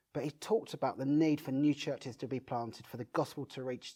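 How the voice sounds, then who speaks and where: Over a quiet background, a man talks at a fairly quick pace with a Brighton accent. His tone is dark and mellow, at a medium pitch. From southern England, Brighton. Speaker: pastor and church planter. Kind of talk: interview.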